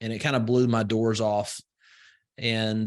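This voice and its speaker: A man's medium pitch carries over a quiet background. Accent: Southern US. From US South, rural Alabama. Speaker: entrepreneur and investor. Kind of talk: podcast interview. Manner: slow vowels.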